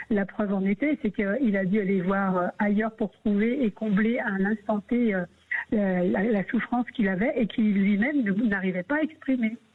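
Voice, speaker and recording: At a moderate pace, a woman speaks with ordinary pitch variation and very even loudness over noticeable background noise. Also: medium pitch for a woman. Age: 60s. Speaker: radio caller sharing her story. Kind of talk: radio call-in testimony. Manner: halting, many hesitations.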